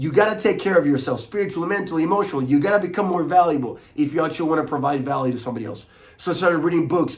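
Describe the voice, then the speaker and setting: A high-pitched man with a Spanish accent talks at a very fast pace with ordinary pitch variation, and the room echo is audible. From Chile. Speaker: motivational coach. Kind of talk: motivational talk to camera. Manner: mumbles a lot.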